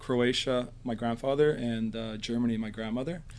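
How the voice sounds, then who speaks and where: Man with a Canadian accent, a plain, everyday voice and fairly even intonation. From Nanaimo, Vancouver Island, Canada. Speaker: teacher. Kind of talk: casual interview.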